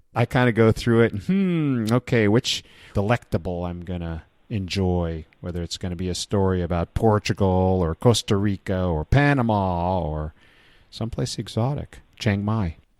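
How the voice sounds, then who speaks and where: A man's plain, everyday voice at a moderate pace with ordinary pitch variation, dry and close with no echo on a very clean recording with a silent background. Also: fairly low pitch for a man. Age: 60s. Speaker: podcast host. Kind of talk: interview.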